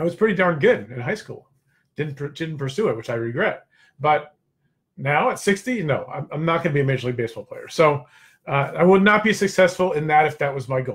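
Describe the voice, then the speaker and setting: A man with a plain, everyday voice talks at a fairly quick pace in a fairly high pitch with lively intonation. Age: 60s. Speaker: network marketing coach and show host. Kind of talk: live stream motivational talk. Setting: live stream with chat. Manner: casual, conversational with fillers.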